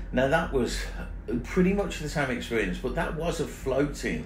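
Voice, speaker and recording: Music plays in the background as a man speaks, with audible room echo. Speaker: motorcycle travel vlogger. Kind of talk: casual vlog chat. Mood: annoyed, complaining. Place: boat. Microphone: phone near.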